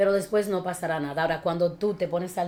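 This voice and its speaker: A woman with a fairly low pitch speaks at a fairly quick pace in an animated tone, her pitch varying in an ordinary way. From Dominican Republic (Villa Altagracia). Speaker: communication and speech teacher. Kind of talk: interview.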